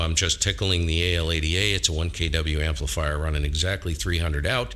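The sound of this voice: A man speaks at a moderate pace, low in pitch. His tone is bright and sharp.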